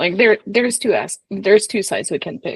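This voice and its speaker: Somewhat breathy and fairly high-pitched, a woman speaks in a dry, close sound with no echo. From Quebec, Montreal. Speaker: political strategist. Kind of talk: casual political interview.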